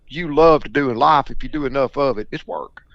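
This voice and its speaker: A man with a Mississippi accent talks at a fairly quick pace. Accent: Mississippi Southern. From US South, Mississippi Delta. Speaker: duck hunting broker. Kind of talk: podcast interview. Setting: podcast.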